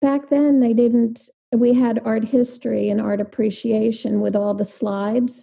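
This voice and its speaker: Speaking very slowly, a woman uses a dark, mellow, somewhat breathy tone with fairly even intonation. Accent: American. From New Jersey. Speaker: visual artist. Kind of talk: casual interview.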